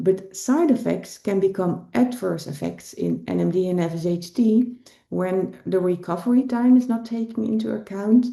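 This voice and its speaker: A woman's somewhat breathy voice with a dark, mellow tone and hardly any pauses. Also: medium pitch for a woman, ordinary pitch variation, moderate pace. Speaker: rehabilitation physician and researcher. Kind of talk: lecture. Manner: hesitant with fillers.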